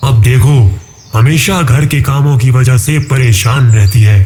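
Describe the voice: A man puts on a character voice at a medium pitch with ordinary pitch variation. His loudness stays very even.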